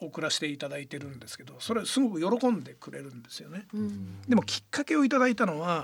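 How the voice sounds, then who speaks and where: The speech races along at a very fast pace with hardly any pauses, very wide pitch swings, and big swings in loudness. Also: man, fairly high pitch for a man. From Yokohama, Kanagawa, Japan. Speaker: football club president. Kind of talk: radio interview.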